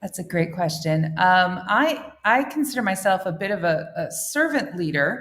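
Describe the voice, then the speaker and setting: A woman with an American accent speaks at a moderate pace and medium pitch, with hardly any pauses. Her pitch swings very widely. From United States. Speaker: international school head. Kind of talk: interview. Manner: halting, many fillers.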